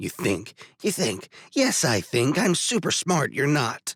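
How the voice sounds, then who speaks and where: A man puts on a raspy, rumbling character voice, fairly high-pitched for a man, with very wide pitch swings at a fairly slow pace, recorded dry and close with no echo. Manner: grumbling, sarcastic.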